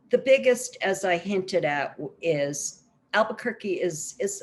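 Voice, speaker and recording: Speaking at a moderate pace with an American accent, a woman uses a medium pitch with very wide pitch swings. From New York. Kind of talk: conference presentation.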